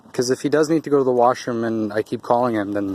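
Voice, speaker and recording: The speech is soft-spoken and mumbling, at a fairly quick pace. The intonation stays fairly even. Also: man. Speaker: dog owner and trainer vlogger. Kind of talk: casual vlog narration while training dogs. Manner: mumbling, soft and weak on camera.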